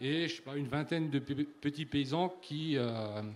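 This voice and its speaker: Fairly slow delivery with ordinary pitch variation and a slight Alsatian accent. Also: man. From Alsace, France. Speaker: livestock farmer. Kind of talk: panel discussion. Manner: halting.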